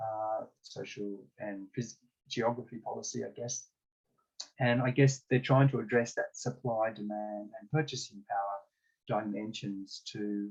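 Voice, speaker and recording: A man with a plain, everyday voice speaks at a fairly slow pace in a medium pitch, his intonation fairly even while his loudness swings widely. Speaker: discussion facilitator. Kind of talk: online group discussion.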